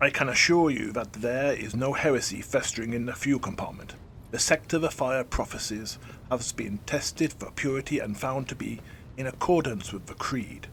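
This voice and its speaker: A man puts on a resonant character voice at a medium pitch, with ordinary pitch variation and a moderate pace. Background noise is clearly audible. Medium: read story.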